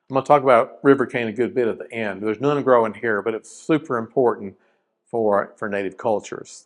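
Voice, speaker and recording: Fairly quick speech from a man with an Appalachian accent, medium in pitch with ordinary pitch variation, against a quiet background. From South Carolina (Rock Hill), Appalachian roots. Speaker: wildlife and forestry scientist, presenter. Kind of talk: educational presentation. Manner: casual, conversational with fillers.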